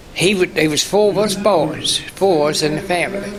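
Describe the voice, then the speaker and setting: A man speaks over noticeable background noise. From Kentucky (Garrard County). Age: 80s+. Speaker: war veteran. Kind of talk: oral history interview. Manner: halting.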